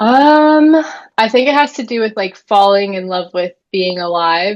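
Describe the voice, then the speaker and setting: In an ordinary speaking voice, a woman talks at a fairly slow pace. Her pitch is fairly high, and her intonation is lively. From Florida. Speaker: birth keeper. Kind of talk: casual chat.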